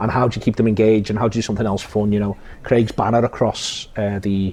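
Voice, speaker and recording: Someone talks at a very fast pace with a Liverpool accent. Background noise is noticeable. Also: man, fairly low pitch for a man. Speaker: podcast host and football pundit. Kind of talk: casual interview chat. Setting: cafe. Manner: animated.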